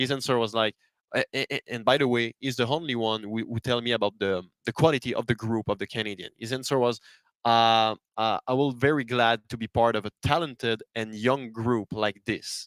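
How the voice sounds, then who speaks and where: Speaking in a Quebec accent, a man talks at a fairly quick pace with medium pitch and fairly even intonation. The recording is very clean, with a silent background and a dry, close sound with no echo. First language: French. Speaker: hockey journalist. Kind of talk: podcast discussion. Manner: halting.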